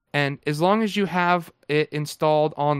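An ordinary speaking voice from a man with an American accent, fairly high in pitch with ordinary pitch variation, in a dry, close sound with no echo. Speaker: co-host, Linux enthusiast. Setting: live stream, online.

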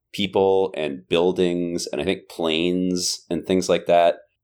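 The background is silent and the recording very clean. In it, a man with an American accent talks at a moderate pace. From US West Coast (San Jose, California). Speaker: musician. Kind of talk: casual chat.

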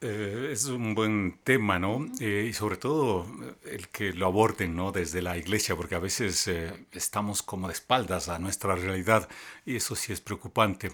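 A man has an unremarkable speaking voice with a fairly low pitch. He uses ordinary pitch variation at a moderate pace. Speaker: journalist. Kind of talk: interview on faith and politics. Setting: recorded in Quito.

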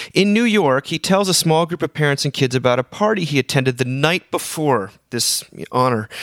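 A plain, everyday voice speaks at a fairly quick pace with lively intonation, the sound dry and close with no echo. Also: man. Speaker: podcast host. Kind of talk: casual chat.

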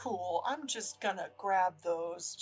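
A woman performs a put-on character voice. Her pitch sits in the medium range. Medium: actual play. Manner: casual, bubbly.

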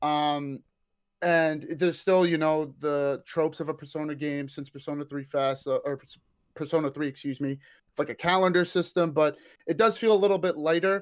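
At a moderate pace, a man with a fairly high pitch speaks on a very clean recording with a silent background. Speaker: Persona fan and hype man. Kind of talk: casual chat. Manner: animated, joking.

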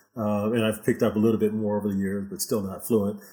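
A man speaks with an American accent at medium pitch. His pace is very fast. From Houston, Texas. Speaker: salsa dance instructor. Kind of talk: interview. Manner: halting, many fillers.

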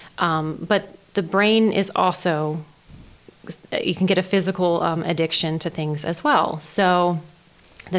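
Speaking at a fairly slow pace, a woman with an American accent uses a fairly low pitch with ordinary pitch variation. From Maryland Eastern Shore, Denton. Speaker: county behavioral health director. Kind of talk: interview. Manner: halting.

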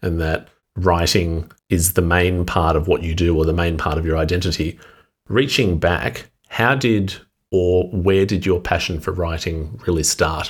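A man talks at a moderate pace, his pitch very deep and low and his intonation fairly even. His voice is somewhat breathy, on a very clean recording with a silent background. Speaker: interviewer podcast host. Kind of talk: interview conversation.

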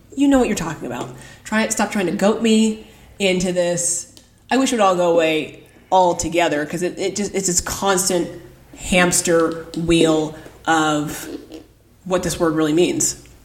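A woman's plain, everyday voice with an American accent, fairly low in pitch, at a moderate pace with ordinary pitch variation. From California. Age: 30s. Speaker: phlebotomist. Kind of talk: casual chat.

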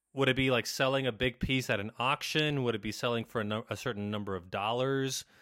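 Set against a silent background on a very clean recording, an unremarkable speaking voice goes fairly quickly with ordinary pitch variation. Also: man. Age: 30s. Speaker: Jesuit priest and doctoral student. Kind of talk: casual chat.

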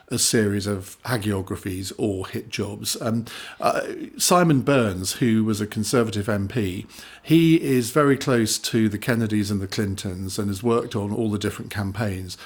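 A man with an English accent speaks at a moderate pace. His fairly low voice shows ordinary pitch variation. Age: 50s. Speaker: author and broadcaster. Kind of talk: interview.

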